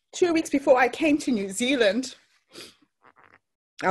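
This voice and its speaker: Her pitch high and her intonation lively, a woman talks at a fairly slow pace. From Zimbabwe. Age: 50s. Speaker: motivational speaker. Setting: online workshop.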